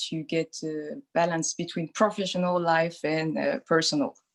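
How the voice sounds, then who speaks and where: A woman with a French accent speaks at a moderate pace in a fairly low voice, the sound dry and close with no echo. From France. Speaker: doula. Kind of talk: interview. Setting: video call.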